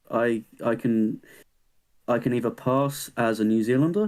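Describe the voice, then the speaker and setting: A man talks at a medium pitch with an English accent. The recording is very clean, with a silent background. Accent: English accent, often imitates Kiwi. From England, an hour outside London. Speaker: podcast co-host, university student. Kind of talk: casual chat.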